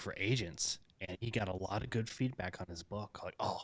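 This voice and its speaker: An American-accented man speaks at a moderate pace. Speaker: podcast host. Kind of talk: interview.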